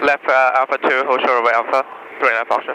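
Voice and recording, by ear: Delivered at a fairly quick pace, this man's speech has little pitch movement. His tone is bright and sharp. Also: medium pitch for a man.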